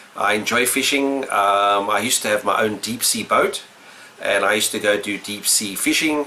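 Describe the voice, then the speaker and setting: A man speaks with a South African accent at a fairly low pitch. His pitch variation is ordinary, and there is noticeable background noise. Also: moderate pace. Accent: mild South African, says he doesn't change it. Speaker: retro gaming YouTuber. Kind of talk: casual vlog answering questions. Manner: unscripted, hesitant with fillers.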